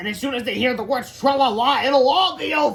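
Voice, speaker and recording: A put-on, growling character voice, high-pitched and very fast. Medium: read story. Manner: snarling, bossy.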